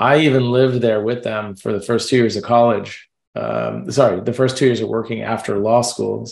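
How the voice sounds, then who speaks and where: Hardly pausing, a man with an American accent speaks at a moderate pace and medium pitch. He has a plain, everyday voice and fairly even intonation. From New Jersey, Jersey City. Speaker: fund manager. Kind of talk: interview. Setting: video call.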